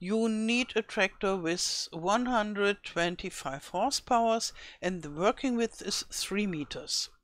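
Speaking very slowly with a German accent, a woman uses ordinary pitch variation. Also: medium pitch for a woman, very clean recording, silent background. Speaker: gaming YouTuber. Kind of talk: tutorial. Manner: halting.

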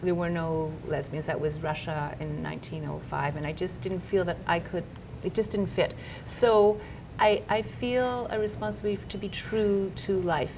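A woman speaks at a fairly low pitch with lively intonation. Noticeable background noise runs behind her. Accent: Canadian. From Canada, Montreal. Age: 50s. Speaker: novelist. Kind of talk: interview. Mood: reflective, warm. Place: office.

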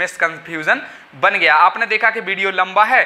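A man speaks in a raised, projected voice at a moderate pace. His pitch variation is ordinary. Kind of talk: explainer talk to camera. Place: home room. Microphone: lapel.

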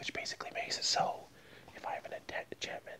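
Whispering, a man talks at a fairly quick pace. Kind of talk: casual vlog chat reading card text. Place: home room. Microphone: earbuds.

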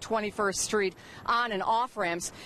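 A woman speaks at a fairly slow pace. The sound is dry with no echo, over light background noise. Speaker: TV field reporter. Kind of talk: live news report. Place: street. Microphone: handheld.

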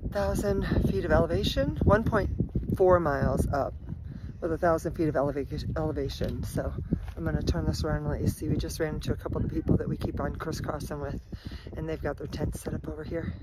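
Against loud background noise, a woman talks at a very fast pace in a dry sound with no echo. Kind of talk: casual vlog chat. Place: forest. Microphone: phone near.

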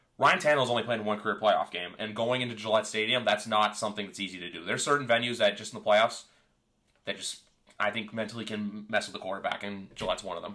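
With big swings in loudness, a man's fairly low voice comes across bright and sharp at a very fast pace. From Canada. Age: 20s. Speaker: podcast host. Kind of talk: casual chat.

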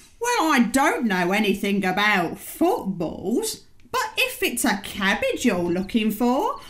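A female-sounding, put-on character voice speaks at a fairly slow pace. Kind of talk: comic character voice. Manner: huffy, chatty, rambling.

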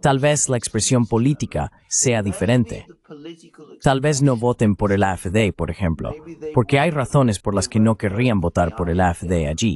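In a normal speaking voice with lively intonation, the speaker goes at a fairly slow pace, the sound dry and close with no echo. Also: man, medium pitch for a man. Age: 60s. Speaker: political commentator. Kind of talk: interview.

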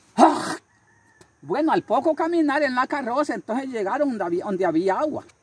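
Extremely high for a man, this voice swings very widely in pitch at a moderate pace. The sound is dry, with no echo. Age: 70s. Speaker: can collector living in poverty; rural man preaching about Bible. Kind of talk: interview; testimony. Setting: at his home. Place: open country. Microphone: phone near.

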